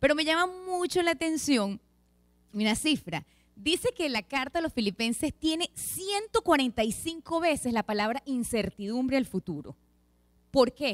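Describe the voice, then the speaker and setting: Against a quiet background, a woman speaks fairly slowly in a high pitch that swings very widely. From Venezuela. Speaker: lay preacher, pediatric dentist; lay preacher. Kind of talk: sermon. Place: church. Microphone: handheld.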